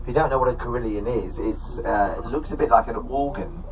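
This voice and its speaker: Noticeable noise sits behind speech that proceeds at a moderate speed. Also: man. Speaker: tour guide. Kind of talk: live commentary. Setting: on a sightseeing bus, PA system. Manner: chatty, humorous. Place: bus.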